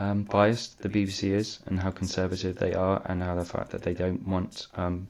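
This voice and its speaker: A man speaks quietly at a moderate pace in a very deep, low voice. His intonation is monotone and flat, in a very clean recording with a silent background. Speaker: political commentary youtuber. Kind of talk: casual commentary. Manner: halting, many fillers.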